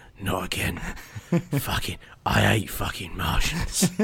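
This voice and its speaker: A raspy, put-on character voice is heard. It unfolds at a fairly slow pace. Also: man, very deep, low pitch for a man. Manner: muttering; resigned, weary.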